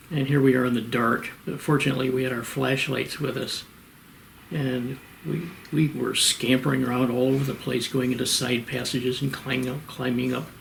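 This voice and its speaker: A man with an American accent talks with fairly even intonation, with audible room echo and noticeable background noise. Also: medium pitch for a man, fairly quick pace. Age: 80s+. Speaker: retired professor and cave geologist. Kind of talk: interview. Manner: halting.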